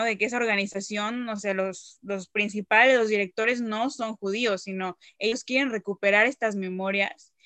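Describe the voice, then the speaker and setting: A woman's medium-pitched voice with a bright, sharp tone, fairly even intonation and a moderate pace, in a dry, close sound with no echo and a quiet background. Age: 20s. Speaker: descendant promoting Holocaust memory. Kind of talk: interview.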